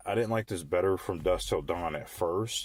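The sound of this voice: A man uses a hoarse, raspy, put-on character voice, speaking at a moderate pace with ordinary pitch variation.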